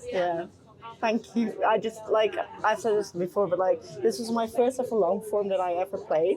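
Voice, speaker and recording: A woman's fairly high voice with a non-native accent, over noticeable background noise. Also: ordinary pitch variation, moderate pace. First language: not English. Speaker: improv performer. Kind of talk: interview.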